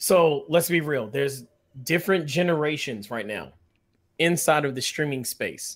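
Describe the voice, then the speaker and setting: A man with a normal speaking voice talks at a moderate pace, with a fairly high pitch and ordinary pitch variation. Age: 30s. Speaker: Twitch streamer. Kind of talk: casual chat.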